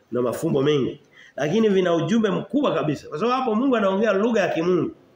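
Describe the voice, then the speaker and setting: A man's voice with audible room echo. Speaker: preacher. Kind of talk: sermon. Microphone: phone near.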